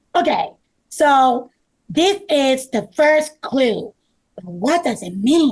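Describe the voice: A woman does a high-pitched put-on character voice with lively intonation at a very slow pace. Her tone is slightly mellow with a slightly husky edge.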